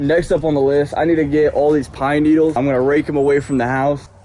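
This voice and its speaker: Speaking at a very fast pace with an American accent, a man uses a fairly high pitch and fairly even intonation amid noticeable background noise. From US, rural. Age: 20s. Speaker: farming vlogger. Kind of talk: casual vlog narration. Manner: casual, halting.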